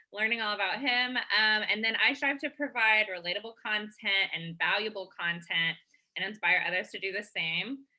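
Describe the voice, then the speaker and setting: A woman's medium-pitched voice with an American accent and ordinary pitch variation. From Texas, Austin. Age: 20s. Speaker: social media content creator. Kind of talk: online workshop presentation.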